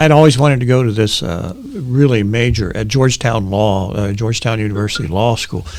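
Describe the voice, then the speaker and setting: A man talks at medium pitch with ordinary pitch variation, at a fairly quick pace with hardly any pauses. The recording has audible room echo and noticeable background noise. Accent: American. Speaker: panel guest, event industry professional. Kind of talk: casual panel discussion.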